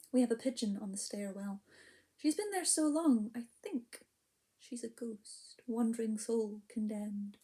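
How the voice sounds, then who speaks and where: In a strong Scottish accent, a woman talks at a fairly slow pace with long, frequent pauses, a dark, mellow tone, a fairly high pitch, ordinary pitch variation and big swings in loudness. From Scotland. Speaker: poet and storyteller. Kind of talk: spoken word poetry performance. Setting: online video event. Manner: hesitant, filler-heavy between poems.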